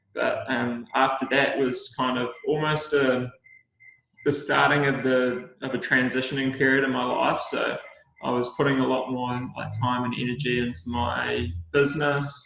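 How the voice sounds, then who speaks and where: With a New Zealand accent, a man talks at a moderate pace in a medium pitch, his intonation monotone and flat, with audible room echo around him. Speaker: Olympic swimmer. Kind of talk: casual interview chat.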